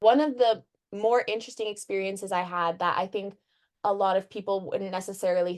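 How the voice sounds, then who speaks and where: A woman with an American accent talks at a moderate pace and a medium pitch. It is an ordinary speaking voice. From Michigan, US. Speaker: undergraduate student. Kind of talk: interview. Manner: casual, uses many fillers.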